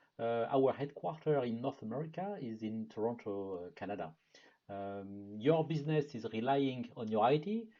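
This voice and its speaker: A man speaks with a French accent. His tone is dark and mellow. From France. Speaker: product marketing manager. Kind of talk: webinar presentation. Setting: online webinar.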